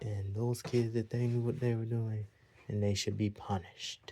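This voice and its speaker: A man's quiet, somewhat breathy voice with a dark, mellow tone. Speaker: vlogger giving opinions. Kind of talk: opinion monologue. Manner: quiet, talking a little low; repetitive.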